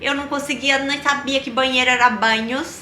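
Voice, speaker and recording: A woman's raised, projected voice, high in pitch, at a fairly slow pace with ordinary pitch variation over noticeable background noise. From Rio Grande do Sul, Brazil. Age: 20s. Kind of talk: casual personal storytelling to camera.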